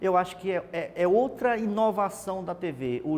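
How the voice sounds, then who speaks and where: In a northeastern Brazilian accent, a man speaks with a high pitch. His pitch moves in an ordinary way. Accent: Brazilian northeastern accent, kept. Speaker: TV reporter, journalist. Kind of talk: interview. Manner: hesitant, repeats words.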